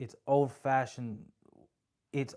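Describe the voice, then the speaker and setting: With an American accent, a man speaks at a fairly high pitch in a dark, mellow tone. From US, Spanish-speaking home. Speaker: content creator, online book club host. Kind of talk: casual book discussion livestream. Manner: reading aloud haltingly.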